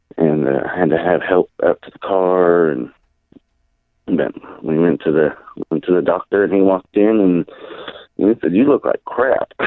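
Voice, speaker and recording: With a very deep, low pitch, a man uses lively intonation, big swings in loudness and long, frequent pauses. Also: moderate pace. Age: 30s. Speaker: restaurant worker, former pipeline worker. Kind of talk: radio interview, personal story. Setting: phone call. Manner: halting.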